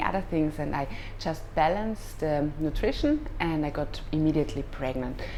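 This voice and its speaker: With music in the background and audible room echo, a woman speaks at a moderate pace with a slight German accent. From Austria. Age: 30s. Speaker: yoga teacher. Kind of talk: personal advice vlog. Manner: halting, with fillers.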